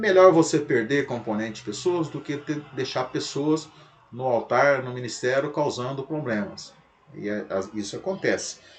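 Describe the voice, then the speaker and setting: Over audible room echo, a man with a fairly high voice speaks at a moderate pace with lively intonation. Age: 60s. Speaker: pastor. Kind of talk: lecture.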